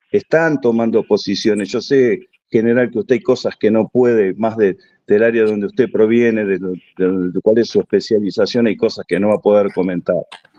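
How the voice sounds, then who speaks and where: Talking at a moderate pace, a man with an unremarkable speaking voice keeps a medium pitch and ordinary pitch variation. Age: 60s. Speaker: audience participant, army reservist. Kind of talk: question-and-answer contribution at an online conference.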